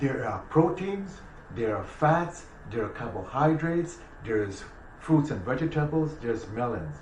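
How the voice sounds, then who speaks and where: The speaker moves at a moderate pace with very wide pitch swings. Noticeable background noise and audible room echo are present. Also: man, fairly high pitch for a man. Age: 60s. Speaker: naturopathic doctor. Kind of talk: casual chat.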